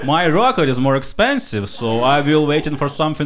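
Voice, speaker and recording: Through noticeable background noise, a man with a Ukrainian accent speaks at a fairly quick pace. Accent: non-native English, Ukrainian. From Ukraine. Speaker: stand-up comedian. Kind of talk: stand-up comedy set.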